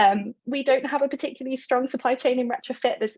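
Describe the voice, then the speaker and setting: Fairly quick, high-pitched speech from a woman. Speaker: retrofit organisation representative. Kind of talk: presentation. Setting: video call. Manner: fast.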